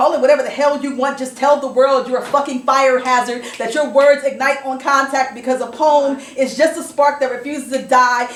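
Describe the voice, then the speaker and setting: A high-pitched woman at a fairly quick pace, fairly even in intonation, over noticeable background noise. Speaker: slam poet. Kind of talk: spoken word poetry performance. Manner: intense, defiant.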